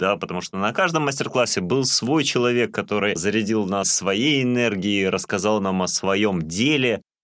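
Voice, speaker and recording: With a bright, sharp tone, a man talks at medium pitch, a moderate pace and ordinary pitch variation on a very clean recording with a silent background. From Russian North (reindeer herding region). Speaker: podcast co-host. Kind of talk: casual chat.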